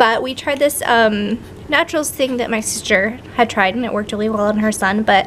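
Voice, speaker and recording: Amid noticeable background noise, a woman speaks at a moderate pace and a fairly high pitch with ordinary pitch variation. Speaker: vlogger, new mother. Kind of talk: casual vlog update.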